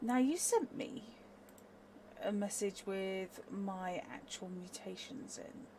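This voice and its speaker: Noticeable background noise runs under speech delivered at a very slow pace with big swings in loudness. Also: woman, fairly high pitch for a woman, ordinary pitch variation. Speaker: tabletop role-play player. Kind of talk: casual chat.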